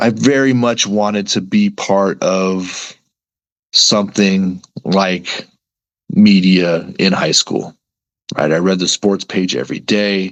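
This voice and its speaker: With an American accent, a man speaks at a very slow pace, with fairly low pitch and fairly even intonation. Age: 40s. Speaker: sports reporter. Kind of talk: podcast interview. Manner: casual, conversational with frequent 'right?' tags.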